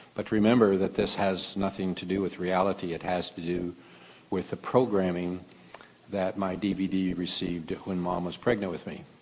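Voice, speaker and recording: A man with a Midwestern American accent, very deep, low pitch, monotone, flat intonation and a moderate pace. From Kansas, US Midwest. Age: 70s. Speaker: physician and conference speaker. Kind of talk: lecture. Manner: halting, many fillers.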